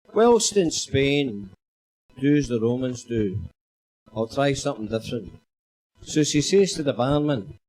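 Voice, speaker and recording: With a Glaswegian accent, a man talks at a fairly slow pace while his pitch swings very widely. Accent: Glaswegian Scottish. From Scotland, Glasgow. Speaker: comedian. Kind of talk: stand-up.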